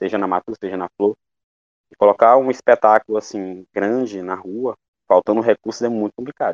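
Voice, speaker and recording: An unremarkable speaking voice talks at a moderate pace. The sound is dry and close, with no echo. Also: man. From Maranhão, Brazil (Coroatá). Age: 20s. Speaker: actor and theatre teacher. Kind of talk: interview testimony.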